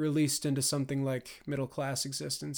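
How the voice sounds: Reading in a natural voice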